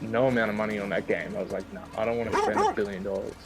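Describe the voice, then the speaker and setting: Noticeable background noise sits behind a man talking very fast in an American accent. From Australia. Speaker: gamer streaming with a friend. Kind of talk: casual gaming chat. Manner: casual, swears.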